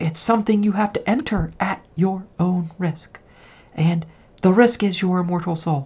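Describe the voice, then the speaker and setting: A woman talks at a moderate pace with a medium pitch and ordinary pitch variation. Her voice is somewhat breathy. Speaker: tarot reader and witch. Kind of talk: solo tarot reading video. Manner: casual, conversational.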